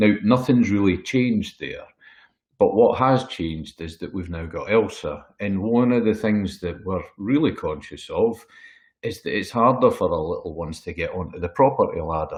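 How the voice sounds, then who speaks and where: At a moderate pace, a man speaks in a Scottish accent against a quiet background. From Scotland. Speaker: wealth management consultant. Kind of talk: webinar presentation. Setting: webinar.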